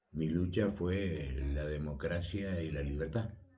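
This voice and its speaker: A man speaks at a very deep, low pitch in a dark, mellow tone. His voice is somewhat breathy, and room echo is audible. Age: 80s+. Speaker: retired politician and sports official. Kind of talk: radio interview. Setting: radio studio.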